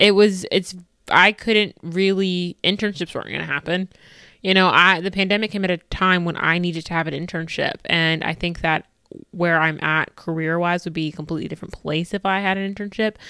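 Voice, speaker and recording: On a very clean recording with a silent background, a woman talks at a fairly quick pace in a fairly low pitch, with a bright, sharp tone and fairly even intonation. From United States. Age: 20s. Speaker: solo podcaster. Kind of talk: casual solo monologue. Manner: talkative and repetitive.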